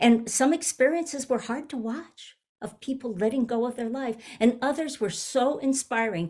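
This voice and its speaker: Dark, mellow tone with lively intonation at a moderate pace. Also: woman. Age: 70s. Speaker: minister. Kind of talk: sermon. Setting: video call.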